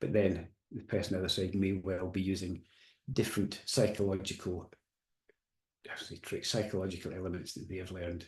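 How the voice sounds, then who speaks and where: A soft-spoken, somewhat breathy man talks at a fairly quick pace in a very deep, low pitch, with long, frequent pauses. His intonation is monotone and flat, and the background is quiet. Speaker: coach and hypnotherapist giving a webinar. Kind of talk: recorded webinar presentation.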